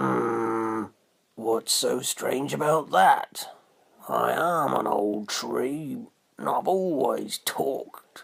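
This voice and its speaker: A man uses a put-on character voice, croaky and raspy. He speaks at a very slow pace. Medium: read story. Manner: slow, grumbling.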